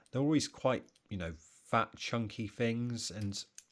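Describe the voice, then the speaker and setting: Speaking at a fairly slow pace with an English accent, a man uses a medium pitch and ordinary pitch variation. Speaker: watch collector video host. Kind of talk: casual show-and-tell vlog. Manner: casual, conversational.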